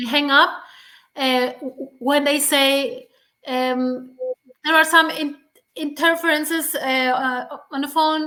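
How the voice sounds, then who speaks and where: A woman's raised, projected voice, high-pitched and fairly even in intonation, very slow with long, frequent pauses. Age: 50s. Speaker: stuttering advocate. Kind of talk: interview. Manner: stuttering; halting.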